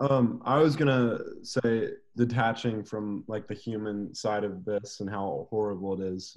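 Against a quiet background, a man with a normal speaking voice talks at a fairly slow pace in a fairly low pitch. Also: fairly even intonation. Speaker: podcast co-host. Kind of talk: interview conversation. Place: home room. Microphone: video call.

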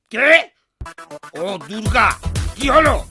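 A cartoonish character voice at a fairly high pitch comes over faint background music. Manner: blustering, comic.

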